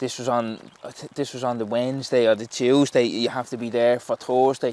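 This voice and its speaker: With a strong Dublin accent, a man speaks at a medium pitch and a moderate pace in monotone, flat intonation. The sound is dry and close with no echo. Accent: Dublin Irish, strong. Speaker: professional footballer. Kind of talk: casual interview chat. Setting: outdoors, footgolf course in rain.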